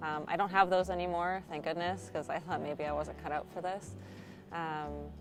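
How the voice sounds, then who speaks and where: With music behind it, the voice moves along at a moderate pace and an intonation that keeps rising and falling in a lively way. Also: woman, very deep, low pitch for a woman. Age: 30s. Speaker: student newspaper editor and flight attendant. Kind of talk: interview monologue. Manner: casual with frequent filler ums.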